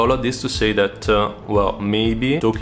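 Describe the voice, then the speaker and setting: A man with an Italian accent speaks at a fairly low pitch. His pace is moderate, with music in the background. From Italy. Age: 20s. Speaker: photographer and videographer. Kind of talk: casual vlog talk to camera. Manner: hesitant, many fillers.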